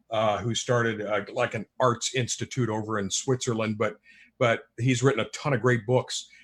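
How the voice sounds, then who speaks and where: A somewhat breathy voice speaks at a moderate pace with fairly even intonation. The recording is very clean, with a silent background. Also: man. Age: 60s. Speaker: author. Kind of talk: panel discussion. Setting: live streamed show.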